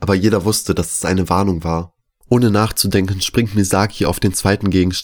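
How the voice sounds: With fairly even intonation, a natural reading voice comes through against a quiet background.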